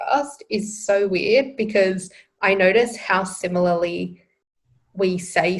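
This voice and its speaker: A woman speaks in a somewhat breathy voice at medium pitch, with ordinary pitch variation. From Australia. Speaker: podcast co-host. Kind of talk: casual chat.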